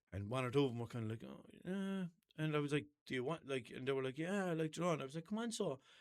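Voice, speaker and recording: A man with a Limerick accent speaks very fast in a fairly high-pitched, animated voice. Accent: Limerick Irish. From Ireland, Limerick. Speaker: podcast host. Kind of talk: casual chat. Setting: small studio. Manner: animated storytelling.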